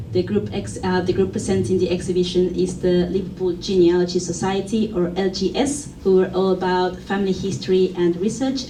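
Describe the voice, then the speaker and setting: A woman speaks at a moderate pace with a fairly low pitch. Her intonation stays fairly even, and there is noticeable background noise. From Argentina. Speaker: museum curator and exhibition designer. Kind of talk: conference presentation.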